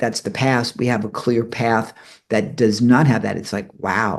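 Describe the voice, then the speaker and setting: Medium pitch and a moderate pace from a man with a normal speaking voice. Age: 60s. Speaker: interview host. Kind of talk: casual interview.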